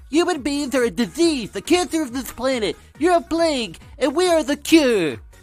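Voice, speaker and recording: Over music in the background, a man performs a put-on character voice at an extremely high pitch and a moderate pace. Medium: voice reel.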